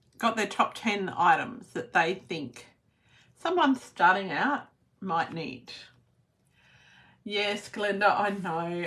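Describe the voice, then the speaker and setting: Speaking very slowly, a woman with an Australian accent uses lively intonation. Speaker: papercraft demonstrator. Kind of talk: live stream tutorial. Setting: Facebook live video. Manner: uneven volume, sometimes soft.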